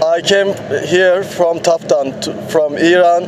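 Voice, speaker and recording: Over noticeable background noise, a man talks with a Turkish accent. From Turkey. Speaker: touring cyclist. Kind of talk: interview. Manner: halting.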